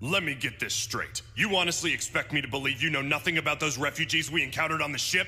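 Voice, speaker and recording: A cartoonish character voice from a man, fairly high in pitch, very fast, with hardly any pauses. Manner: aggressive, brusque.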